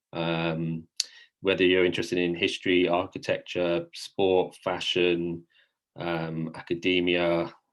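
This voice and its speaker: Over a quiet background, a man with a British accent talks at a fairly slow pace in a very deep, low pitch and a monotone, flat intonation. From England, London. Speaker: study abroad program staff. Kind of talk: info session presentation.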